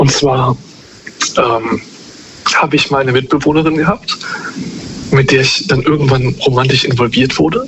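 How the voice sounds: A man talks at a medium pitch and a moderate pace, his tone fairly bright. His intonation is fairly even, with long, frequent pauses.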